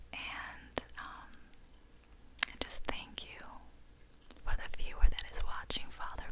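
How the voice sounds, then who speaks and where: A woman is whispering at a very slow pace. Her tone is calm. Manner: whispered, soft-spoken, calm. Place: home room. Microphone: studio mic.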